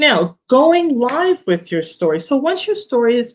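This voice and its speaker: Against a quiet background, a woman talks with a New York accent. Her pitch swings very widely. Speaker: business coach. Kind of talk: online workshop talk. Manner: casual with filler words.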